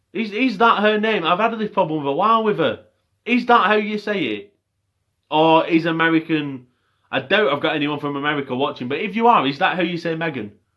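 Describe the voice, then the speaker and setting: A high-pitched man talks with a Lancashire accent at a fairly quick pace. His tone is bright and sharp, with lively intonation. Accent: Bolton. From northern England, Bolton. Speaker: MMA commentator / YouTuber. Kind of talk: casual fight review monologue.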